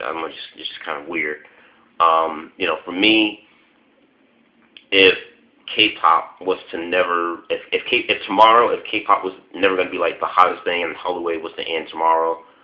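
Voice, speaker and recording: An American-accented man at a moderate pace with long, frequent pauses. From US Midwest, Chicago. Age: 20s. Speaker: vlogger. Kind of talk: casual vlog monologue. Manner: halting, many fillers.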